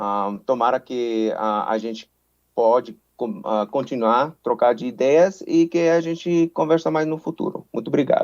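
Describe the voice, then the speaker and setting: Lively intonation marks this man's medium-pitched voice. He speaks at a fairly slow pace. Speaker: forest service official. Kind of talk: panel discussion. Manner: halting, many fillers.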